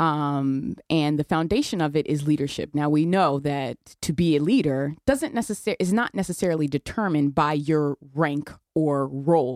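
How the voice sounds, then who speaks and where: Her voice very deep and low, a woman with a Connecticut accent speaks at a moderate pace with ordinary pitch variation and very even loudness, the sound dry and close with no echo. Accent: US Northeast (Connecticut). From New Haven, Connecticut. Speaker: police detective. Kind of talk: radio interview.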